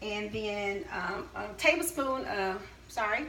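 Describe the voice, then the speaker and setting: A woman with an American accent and a fairly high pitch speaks amid noticeable background noise and audible room echo. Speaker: caterer. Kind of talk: cooking tutorial with testimony. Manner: hesitant, many fillers.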